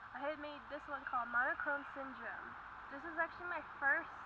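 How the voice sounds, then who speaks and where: A soft-spoken woman's voice shows ordinary pitch variation. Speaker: zine maker. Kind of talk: casual talk to camera. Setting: outdoors. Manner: quiet, soft-spoken.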